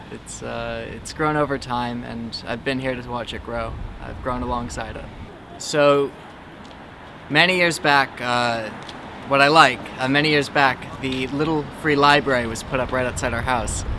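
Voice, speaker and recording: Over noticeable background noise and audible room echo, a man with an American accent talks at a medium pitch with fairly even intonation. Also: moderate pace, big swings in loudness. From Brooklyn, New York. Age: 20s. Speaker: local resident. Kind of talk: interview. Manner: hesitant, many fillers.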